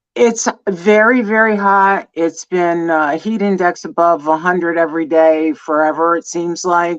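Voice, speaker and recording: A woman talks at a fairly slow pace with hardly any pauses, in a New Jersey accent. Her pitch is fairly low, with ordinary variation. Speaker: former teacher, guest. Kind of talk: casual livestream chat.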